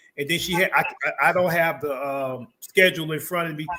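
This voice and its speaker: This man has a normal speaking voice, fairly high in pitch with ordinary pitch variation, delivered at a fairly quick pace. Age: 60s. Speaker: community organizer and market founder. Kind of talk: interview.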